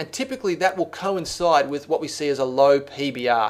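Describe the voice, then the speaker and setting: With an Australian accent, a man talks at a moderate pace. His pitch is fairly high, with ordinary variation. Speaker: software trainer. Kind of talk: screencast tutorial. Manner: casual, many fillers and restarts.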